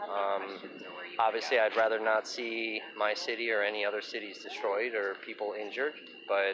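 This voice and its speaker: A man with an American accent speaks at a moderate pace with fairly even intonation. His pitch is fairly low, and there is noticeable background noise. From Kenosha, Wisconsin, US Midwest. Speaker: local journalist and livestreamer. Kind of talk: street interview. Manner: hesitant, with many fillers.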